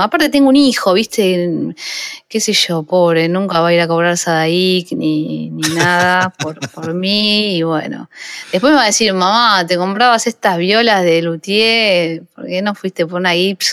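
Speaking in a normal speaking voice, a woman talks at a fairly slow pace with a medium pitch and ordinary pitch variation. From Buenos Aires suburbs, Argentina (La Matanza). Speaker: guitarist and songwriter. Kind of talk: casual interview.

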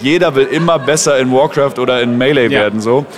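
Very fast talk from a man, fairly high in pitch with ordinary pitch variation, over noticeable background noise. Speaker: esports caster. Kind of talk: casual interview. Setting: event venue lobby.

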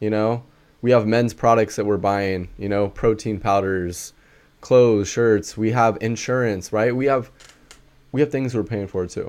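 A man's fairly low voice at a fairly slow pace, with fairly even intonation. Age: 20s. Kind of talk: casual personal conversation. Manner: well-spoken.

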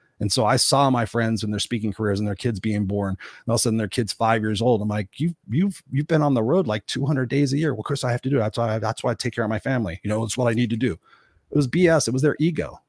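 A man's medium-pitched voice at a very fast clip, hardly any pauses, ordinary pitch variation, dry and close with no echo, very clean recording over a silent background. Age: 50s. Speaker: motivational coach and author. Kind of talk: interview. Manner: animated.

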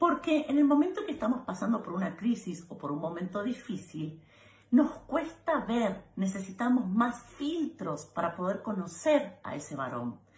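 Talking at a fairly slow pace, a woman with a fairly high pitch swings her voice very widely up and down. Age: 40s. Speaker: advice video host. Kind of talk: direct-to-camera advice monologue.

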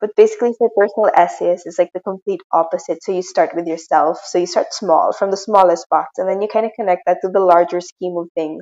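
At a very fast pace with hardly any pauses, a woman talks in a medium pitch. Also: fairly even intonation. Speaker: podcast host. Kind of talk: casual interview.

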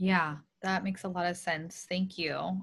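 Her voice is medium in pitch with a bright, sharp tone and fairly even intonation, moving at a fairly slow pace. The woman is heard on a very clean recording against a silent background. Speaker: podcast host, speech therapist. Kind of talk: interview with scripted intro.

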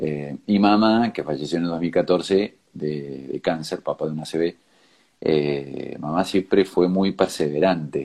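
A man with a very deep, low voice talks at a very slow pace with ordinary pitch variation. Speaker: organ donation advocate, tech entrepreneur. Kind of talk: interview. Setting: video call. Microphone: choppy connection.

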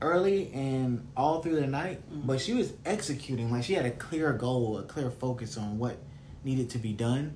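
With lively intonation, a man speaks at a fairly slow pace in a medium pitch, with audible room echo around him. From US South. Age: 20s. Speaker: podcast host. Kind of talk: casual chat.

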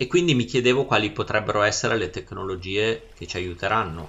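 Noticeable background noise sits behind a man speaking at a very fast pace. His pitch variation is ordinary. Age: 40s. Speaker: podcast host. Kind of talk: casual chat.

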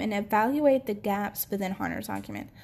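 A woman speaks in a somewhat breathy voice with a dark, mellow tone. Her pitch varies in an ordinary way. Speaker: podcast host. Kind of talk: solo history talk read from notes. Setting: home recording. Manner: casual, hesitant with many fillers and laughs.

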